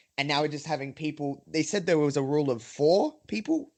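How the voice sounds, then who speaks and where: Here is a man with an Australian accent. His voice is fairly high in pitch. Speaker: wrestling podcaster. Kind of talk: casual chat.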